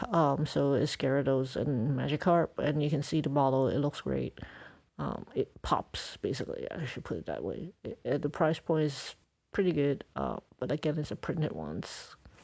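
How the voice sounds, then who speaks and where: Speech moves at a moderate pace. The background is silent in this very clean recording. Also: woman. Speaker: Pokemon collector YouTuber. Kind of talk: casual product review commentary. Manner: halting.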